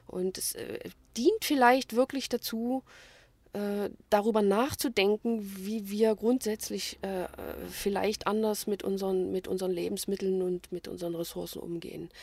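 A woman at medium pitch with ordinary variation, fairly slow, with long, frequent pauses, on a very clean, silent-background recording that is dry and close with no echo. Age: 50s. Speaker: small business owner selling day-old bread. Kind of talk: interview. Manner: hesitant with filler sounds.

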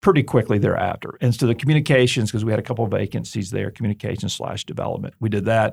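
Somewhat breathy and at a very fast pace, a man speaks with medium pitch and ordinary pitch variation on a very clean recording with a silent background. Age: 40s. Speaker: seminary president and author. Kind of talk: interview. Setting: studio. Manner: conversational, many filler words and repeats.

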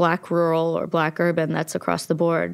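A woman speaks in an Appalachian accent at a moderate pace. Her pitch is fairly low. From West Virginia, Logan. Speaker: documentary filmmaker. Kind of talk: interview.

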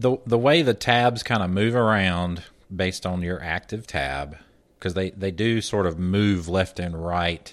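A man speaks at a fairly slow pace. His very deep, low pitch shows ordinary variation. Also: quiet background. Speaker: podcast host. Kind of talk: casual tech podcast discussion.

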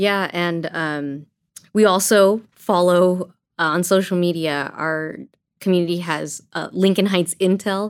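This woman has a normal speaking voice, fairly low in pitch, with ordinary pitch variation. The recording is very clean, with a silent background. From Azusa, Southern California. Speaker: churchgoer, gang ministry participant. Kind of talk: casual podcast interview. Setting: studio at church.

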